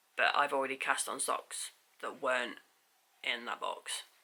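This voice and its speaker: A woman whispering with an English accent. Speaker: knitting vlogger. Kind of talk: casual chat. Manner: hesitant, many fillers.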